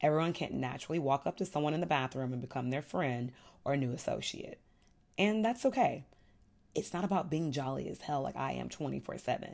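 Fairly quick, animated speech with lively intonation, vocal fry and an American accent, on a very clean recording with a silent background. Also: woman. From Texas, Houston. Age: 30s. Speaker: podcast host. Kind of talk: casual monologue.

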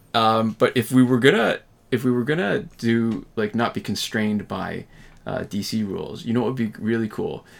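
A man's plain, everyday voice with a Canadian accent, medium pitch and ordinary pitch variation, on a very clean recording with a silent background. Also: moderate pace. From Canada. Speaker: gaming YouTuber. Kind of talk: casual chat.

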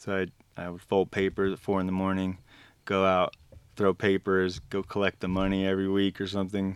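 A man's very deep, low, monotone voice with an American accent, fairly quick and flat, on a very clean recording with a silent background. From Arizona. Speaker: painter and graphic novel creator. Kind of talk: casual chat.

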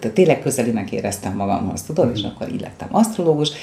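Noticeable background noise runs under a woman talking at a very fast pace. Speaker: psychologist. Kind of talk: casual interview. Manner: energetic.

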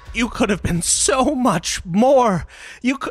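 This man uses a put-on character voice at an extremely high pitch. He speaks at a fairly slow pace with lively intonation. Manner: snarling.

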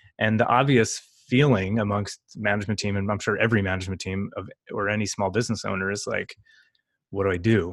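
A man's fairly low voice with an American accent at a fairly quick pace, an ordinary speaking voice on a very clean recording with a silent background. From US Northeast, New York area. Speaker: marketing podcast co-host. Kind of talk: casual chat. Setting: home, on camera.

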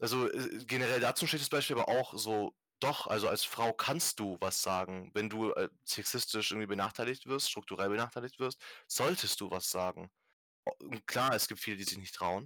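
A man talks with an unremarkable speaking voice, pitched in the medium range, at a moderate pace and with ordinary pitch variation. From Germany, Stuttgart area. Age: 20s. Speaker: podcast host, activist. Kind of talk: casual chat.

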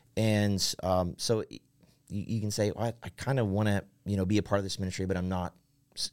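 The speaker has an American accent and talks at a fairly quick pace with fairly even intonation. The recording is very clean, with a silent background. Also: man. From central Ohio, rural. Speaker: worship pastor. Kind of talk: casual interview. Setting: studio.

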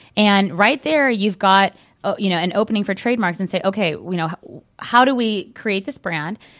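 A woman with an American accent at a medium pitch, with ordinary pitch variation and a moderate pace. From Southern California. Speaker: trademark lawyer. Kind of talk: radio interview. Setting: studio.

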